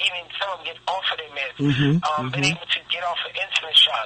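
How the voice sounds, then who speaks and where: Over noticeable background noise, a man talks fairly quickly with fairly even intonation. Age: 30s. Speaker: sheriff's office deputy and health product distributor. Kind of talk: radio interview answer.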